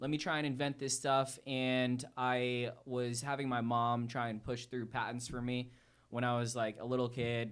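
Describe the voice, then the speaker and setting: A man with an American accent at medium pitch and moderate pace, monotone and flat, on a very clean recording with a silent background. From Connecticut, US. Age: 30s. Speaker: entrepreneur. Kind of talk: podcast interview. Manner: casual, relaxed.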